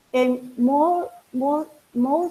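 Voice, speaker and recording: In a Spanish accent, this speaker has a dark, mellow tone and lively intonation, recorded with a dry, close sound and no echo. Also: woman. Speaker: conference speaker. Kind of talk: academic presentation. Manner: halting.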